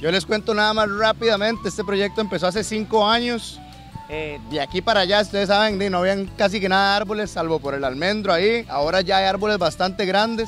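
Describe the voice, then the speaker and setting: A man talks at a fairly quick pace with ordinary pitch variation in a dry sound with no echo, faint music playing in the background. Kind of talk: speech to a group. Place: open country. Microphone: handheld.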